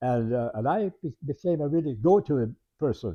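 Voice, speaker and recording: A man with a Canadian Prairie accent speaks at a medium pitch with ordinary pitch variation. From Canadian Prairies, rural Saskatchewan. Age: 90s. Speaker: retired teacher telling his life story. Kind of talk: oral history interview. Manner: halting, many repetitions and fillers.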